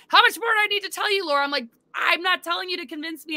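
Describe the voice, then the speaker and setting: A woman speaks in a raised, projected voice with a bright, sharp tone. Her intonation is lively, and the background is quiet. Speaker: alien disclosure speaker, great-granddaughter of a president; interview guest. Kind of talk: interview conversation. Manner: fast. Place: home room.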